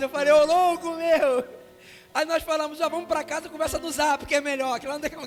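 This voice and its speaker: This man's pitch is extremely high, with fairly even intonation. He talks at a fairly quick pace. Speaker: pastor. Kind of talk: sermon. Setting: church.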